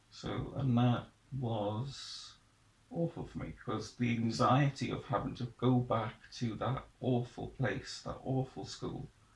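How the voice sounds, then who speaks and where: This man has a South Welsh accent, a medium pitch, fairly even intonation, and a fairly slow pace. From Wales, Pembrokeshire (Haverfordwest). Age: 20s. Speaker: young person sharing life story. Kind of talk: personal testimony interview. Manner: halting, with hesitations and restarts.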